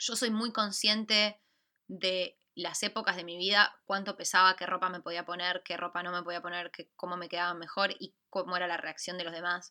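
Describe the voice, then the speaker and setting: A woman with an Argentine accent speaks at a moderate pace in a bright, sharp tone, her medium pitch and fairly even intonation captured in a very clean recording with a silent background. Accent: Argentine Spanish (Rioplatense). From Argentina. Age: 20s. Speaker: podcast co-host. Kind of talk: casual chat.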